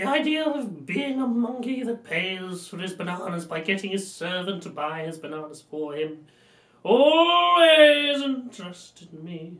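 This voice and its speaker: The pace is moderate. A put-on character voice holds a middle pitch. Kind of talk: posh.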